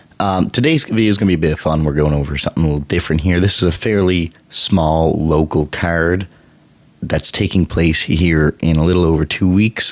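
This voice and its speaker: A man's very deep, low voice at a moderate pace, with ordinary pitch variation and noticeable background noise. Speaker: MMA prediction channel host. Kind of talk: casual fight predictions talk.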